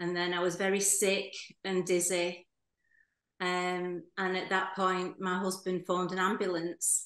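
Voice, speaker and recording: Speech comes at a fairly slow pace in monotone, flat intonation. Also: woman, medium pitch for a woman. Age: 60s. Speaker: heart attack survivor, retired hairdresser. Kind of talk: interview testimony. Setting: video call.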